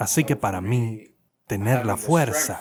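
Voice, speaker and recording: A man talks in a normal speaking voice at medium pitch with lively intonation. The recording is very clean, with a silent background. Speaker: voice actor doing Spanish dubbing. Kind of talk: dubbed voice-over of a panel discussion on mental health.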